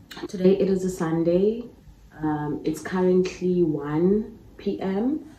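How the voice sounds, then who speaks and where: In a room with audible echo and light background noise, a woman with a fairly low pitch speaks at a very slow pace in fairly even intonation. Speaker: vlogger. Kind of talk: casual vlog chat. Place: home room. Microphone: phone near.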